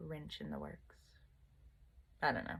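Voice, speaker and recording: In a very clean recording with a silent background, a woman talks with an American accent. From US South. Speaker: vlogger. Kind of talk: casual monologue vlog. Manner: rambling, hesitant with fillers.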